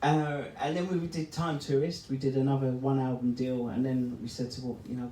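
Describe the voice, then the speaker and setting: With a London accent, a man speaks in fairly even intonation with hardly any pauses, over noticeable background noise and audible room echo. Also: medium pitch for a man, moderate pace. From East London. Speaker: electronic music producer. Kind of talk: live interview with audience. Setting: stage with live audience in a record shop. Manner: chatty, talks a lot.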